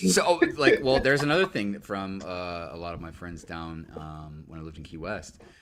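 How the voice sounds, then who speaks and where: At a moderate pace and with hardly any pauses, a man speaks in a very deep, low voice with lively intonation and big swings in loudness. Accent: American. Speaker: livestream co-host. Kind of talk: casual chat. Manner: animated.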